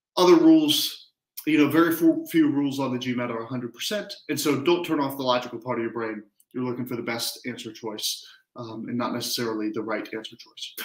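Against a quiet background with audible room echo, a man talks at a fairly quick pace with ordinary pitch variation and big swings in loudness. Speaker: test prep tutor. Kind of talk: lecture. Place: home room. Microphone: headset.

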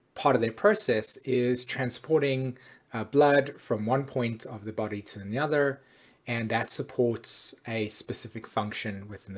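The voice is somewhat breathy, with big swings in loudness. It moves at a moderate pace with ordinary pitch variation. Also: man. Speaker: astrology teacher. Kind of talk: casual lecture to camera. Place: home room. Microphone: webcam.

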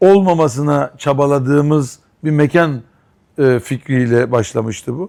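The speaker has a plain, everyday voice. The pitch shows ordinary variation. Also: man. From Istanbul, Turkey. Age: 50s. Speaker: restaurant owner. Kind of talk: interview.

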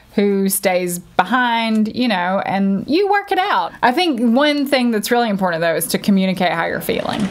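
A woman at a moderate pace with lively intonation and hardly any pauses. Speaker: travel vlogger. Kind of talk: casual vlog chat. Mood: cheerful, chatty. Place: home room.

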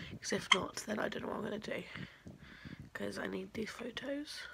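There's a lot of noise in the background. Over it, a woman talks. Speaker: parent vlogger. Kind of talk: casual vlog chat. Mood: relaxed, tender. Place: home room. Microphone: phone near.

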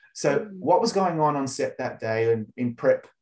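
A man with an Australian accent talks at a fairly quick pace in a somewhat breathy voice against a quiet background. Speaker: entertainment journalist interviewer. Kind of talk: interview. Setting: video call. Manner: animated. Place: home room. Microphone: video call.

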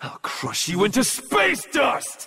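A put-on character voice moves slowly through very wide pitch swings, its bright, sharp tone carrying a slightly husky edge. Faint music sits in the background. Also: man, extremely high pitch for a man.

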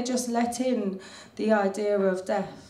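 A woman with fairly even intonation, in audible room echo. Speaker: slam poet. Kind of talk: spoken word slam performance. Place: cafe.

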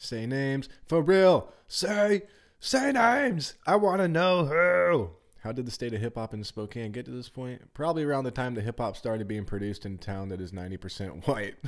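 A man speaks at a moderate pace, his voice showing big swings in loudness and very wide pitch swings. The background stays quiet. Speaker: streamer. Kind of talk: casual vlog chat reading comments aloud. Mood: casual, wry. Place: home room. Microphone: studio mic.

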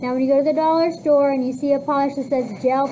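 High-pitched, a woman speaks in a monotone, flat way. Light background noise sits behind her. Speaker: cosmetology teacher. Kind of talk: classroom instructions. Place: classroom.

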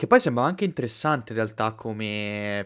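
A man talks at a fairly quick pace in a fairly low pitch, with an unremarkable speaking voice. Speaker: anime youtuber host. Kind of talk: casual live chat, joking banter. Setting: online livestream. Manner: jokey, rowdy, vulgar.

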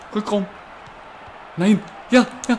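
Here a man speaks at a high pitch. Noticeable background noise can be heard. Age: 20s. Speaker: let's play gamer. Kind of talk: live gameplay commentary. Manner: animated, excitable with exclamations.

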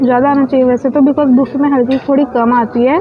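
Faint background noise sits behind the recording. A woman with a high pitch speaks at a fast pace.

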